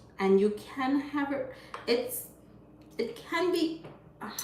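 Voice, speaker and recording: A woman's voice with lively intonation at a fairly slow pace, plus noticeable background noise and audible room echo. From Jamaica, Clifton, Hanover. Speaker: vegan food content creator. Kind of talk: livestream cooking demo, casual chat.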